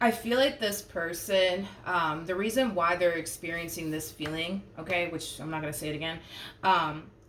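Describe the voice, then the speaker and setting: Audible room echo surrounds a woman with a fairly low pitch who speaks at a moderate pace with ordinary pitch variation. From Puerto Rico. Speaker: tarot reader. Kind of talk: tarot reading monologue. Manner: casual, many fillers and hesitations.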